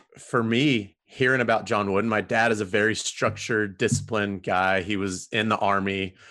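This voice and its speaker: A man with a Southern Californian accent, fairly low in pitch, bright and sharp in tone, monotone and flat in intonation, at a moderate pace. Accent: Southern Californian American. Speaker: women's college soccer coach. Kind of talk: casual interview chat. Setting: video call. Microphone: new podcast equipment.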